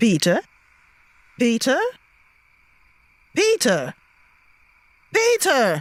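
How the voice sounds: This put-on character voice sits at a fairly high pitch. It moves very slowly, with long, frequent pauses.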